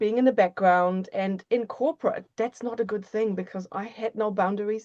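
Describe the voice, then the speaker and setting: Dry and close with no echo, a woman with a non-native accent speaks at a fairly quick pace with fairly even intonation. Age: 50s. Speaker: author and embodiment coach. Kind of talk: interview conversation.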